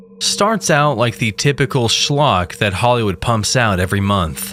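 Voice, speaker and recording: Over music in the background, a man speaks at a very slow pace with lively intonation. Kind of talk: horror story narration.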